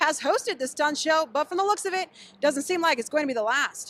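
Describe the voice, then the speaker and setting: A woman's raised, projected voice, high in pitch, with a bright, sharp tone. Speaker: TV news reporter. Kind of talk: TV news field report.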